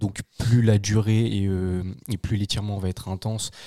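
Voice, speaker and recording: In a very clean recording with a silent background and a dry, close sound with no echo, a man speaks at a moderate pace in a monotone, flat intonation with a fairly low pitch and a dark, mellow tone. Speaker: strength coach student. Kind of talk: casual chat.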